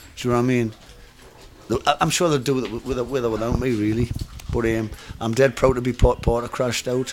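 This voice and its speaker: Against noticeable background noise, a man with a medium pitch and fairly even intonation talks very fast, with long, frequent pauses. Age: 50s. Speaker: punk drummer. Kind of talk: casual interview. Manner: halting.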